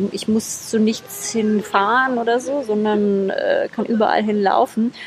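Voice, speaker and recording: A woman talks rather slowly at a very even loudness, with noticeable noise in the background. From East Germany (Berlin, Leipzig, Erfurt). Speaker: wedding speaker. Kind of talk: casual interview. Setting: outdoors at a city square. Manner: animated, many fillers.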